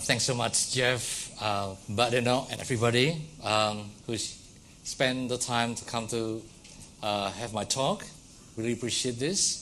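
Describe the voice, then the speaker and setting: Audible room echo and noticeable background noise fill the recording. A man with an Indonesian accent speaks at medium pitch and a fairly slow pace, his intonation fairly even. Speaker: academic lecturer. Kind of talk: lecture. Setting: lecture hall with audience.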